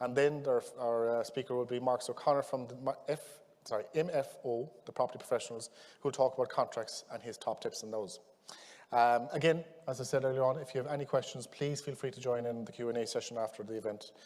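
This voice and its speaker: A man talks with a West Cork accent. His pace is very fast. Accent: West Cork Irish. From Ireland, West Cork. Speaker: conference chair. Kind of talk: conference introduction.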